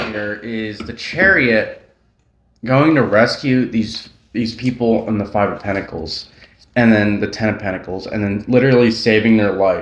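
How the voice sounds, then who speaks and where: Audible room echo surrounds a man speaking at a moderate pace in a medium pitch with ordinary pitch variation. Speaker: tarot reader. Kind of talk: tarot reading. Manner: casual, rambling with fillers.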